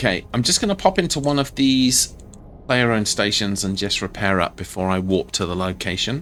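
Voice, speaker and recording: A man talking at a fairly quick pace, with lively intonation. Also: medium pitch for a man. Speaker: gaming video creator. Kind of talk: gameplay commentary. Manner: soft-spoken.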